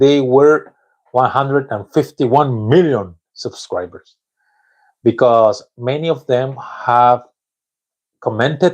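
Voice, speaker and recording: Speaking at a very slow pace, a man with a Spanish accent keeps a medium pitch and ordinary pitch variation. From Mexico. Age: 40s. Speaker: English learner vlogger. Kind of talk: live stream monologue. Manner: halting.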